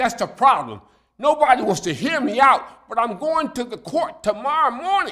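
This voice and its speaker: Speaking in a raised, projected voice with an American accent, a man delivers extremely high-pitched, lively speech at a moderate pace. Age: 80s+. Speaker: public commenter at city council. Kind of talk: public comment plea. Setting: city council meeting.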